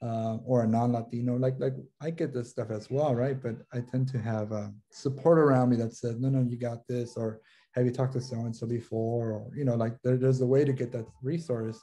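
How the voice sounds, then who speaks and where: A man of medium pitch speaks fairly quickly in a dark, mellow, somewhat breathy tone with flat, monotone intonation. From Los Angeles, US. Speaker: social work professor and consultant. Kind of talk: interview conversation. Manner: halting, many fillers and repetitions. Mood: warm, engaged. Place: home room. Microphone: video call.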